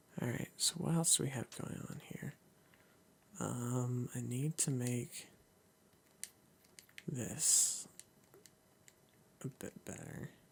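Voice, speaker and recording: A man whispers quietly at a very slow pace, somewhat breathy. Long pauses come often. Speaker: gaming youtuber. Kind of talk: let's play commentary. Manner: whispering quietly.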